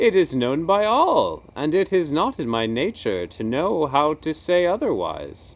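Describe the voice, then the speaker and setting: A man's put-on character voice, high-pitched, with very wide pitch swings, a moderate pace and hardly any pauses. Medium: read story. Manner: dignified, plain-spoken.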